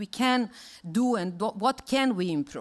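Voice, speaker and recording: Speaking at a fairly quick pace with a Serbian accent, a woman uses a fairly high pitch and ordinary pitch variation on a very clean recording with a silent background. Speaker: conference speaker on water rescue. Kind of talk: conference presentation. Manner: halting, many fillers and restarts.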